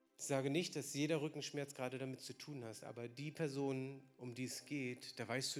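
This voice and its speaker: With an unremarkable speaking voice, a man talks at a moderate pace with hardly any pauses and big swings in loudness. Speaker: preacher. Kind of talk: sermon in a church service, with prayer. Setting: church with slides and congregation. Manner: warm, conversational and lively, then earnest and prayerful.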